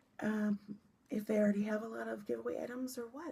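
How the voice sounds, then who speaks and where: Somewhat breathy with a dark, mellow tone, a woman speaks at a medium pitch with lively intonation. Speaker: knitting podcaster and yarn dyer. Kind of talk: casual podcast chat.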